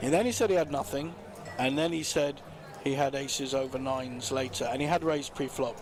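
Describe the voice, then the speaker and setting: Speaking at a fairly quick pace with a fairly high pitch and ordinary pitch variation, a man is heard with audible room echo. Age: 60s. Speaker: poker player. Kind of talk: casual chat. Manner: halting.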